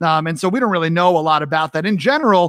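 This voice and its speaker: Speaking with an American accent, a man uses a fairly high pitch and ordinary pitch variation. The sound is dry and close with no echo, on a very clean recording with a silent background. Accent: New York accent comes out more now. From New York. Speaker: talk show host. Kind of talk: live interview chat. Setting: live stream.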